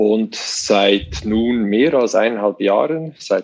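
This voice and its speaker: This voice carries a Swiss accent. The pace is very slow. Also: man. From Switzerland. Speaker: web company manager. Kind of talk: interview.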